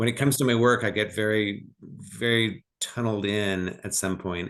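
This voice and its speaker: A man speaks over a quiet background. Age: 60s. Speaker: novelist. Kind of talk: interview conversation. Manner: halting, repeats words.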